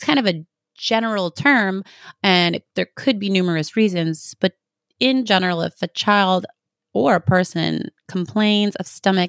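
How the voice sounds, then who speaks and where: A woman with a Canadian accent talks at a moderate pace and medium pitch, in an unremarkable speaking voice. The sound is dry and close with no echo, on a very clean recording with a silent background. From Canada. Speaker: health practitioner and podcast host. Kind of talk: solo educational talk.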